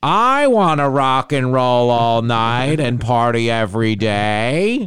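At a fairly slow pace, a man talks in a put-on character voice. His pitch sits at a medium level.

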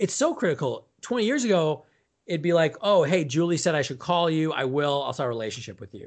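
A fairly high-pitched man at a fairly quick pace, with lively intonation and big swings in loudness. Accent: Midwestern American. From US Midwest. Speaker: author, speaker and sales coach. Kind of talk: casual interview.

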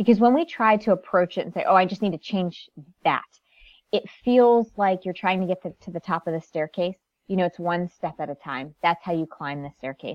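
A woman with an American accent and an ordinary speaking voice talks at a fairly quick pace in a medium pitch, with ordinary pitch variation and big swings in loudness, her sound dry and close with no echo over a quiet background. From US Northeast (Connecticut). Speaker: life coach and author. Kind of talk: interview.

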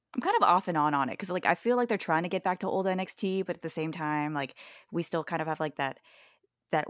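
A woman speaks with ordinary pitch variation. The recording is very clean, with a silent background and a dry, close sound that has no echo. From Hawaii. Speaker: wrestling fan guest. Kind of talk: casual chat.

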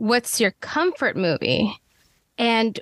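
A woman's unremarkable speaking voice, fairly high in pitch. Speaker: podcast co-host, cinematographer. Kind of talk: podcast interview.

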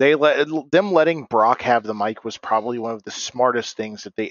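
A man talks at medium pitch with ordinary pitch variation and hardly any pauses, in an ordinary speaking voice. His loudness swings widely. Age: 20s. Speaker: podcast co-host. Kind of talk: casual chat.

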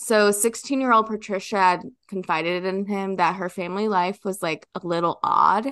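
A woman with an ordinary speaking voice talks at a medium pitch and moderate pace, with ordinary pitch variation. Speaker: recurring guest presenting a true crime case. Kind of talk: storytelling of a true crime case, casual chat.

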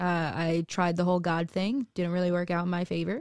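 Heard over a very clean recording with a silent background, a woman talks in an ordinary speaking voice at a fairly low pitch. Her pace is moderate, and the sound is dry and close with no echo. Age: 20s. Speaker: tarot reader and weight loss influencer. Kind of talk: casual chat.

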